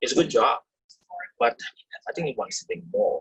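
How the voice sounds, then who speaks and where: He has a non-native accent. This is a man talking. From third-world country, immigrated to Canada as teen. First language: not English. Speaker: Canadian Army veteran. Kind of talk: personal testimony. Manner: halting.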